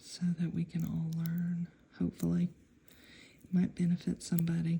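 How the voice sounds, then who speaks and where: Whispering quietly and somewhat breathily, a woman speaks at a moderate pace. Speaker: nail art hobbyist video maker. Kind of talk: tutorial demonstration. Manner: whispering, hushed; casual, hesitant.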